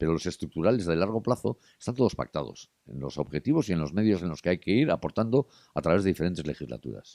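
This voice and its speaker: A man talks at a very fast pace with lively intonation, his very deep, low voice showing vocal fry and a dark, mellow tone. The sound is dry and close, with no echo. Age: 60s. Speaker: journalist and TV presenter. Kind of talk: interview conversation.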